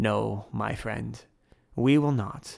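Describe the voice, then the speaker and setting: A man puts on a character voice. It is raspy and fairly low in pitch. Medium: read story. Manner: calm, measured, authoritative.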